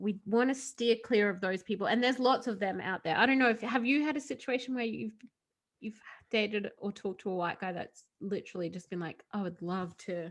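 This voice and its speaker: With an Australian accent, a woman talks at a fairly quick pace and medium pitch, her pitch varying in an ordinary way against a quiet background. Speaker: podcast co-host. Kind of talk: casual chat.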